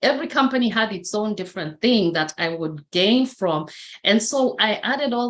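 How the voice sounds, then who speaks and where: With a Kenyan accent, a woman speaks at a fairly slow pace and ordinary pitch variation. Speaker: motivational speaker. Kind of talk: interview testimony.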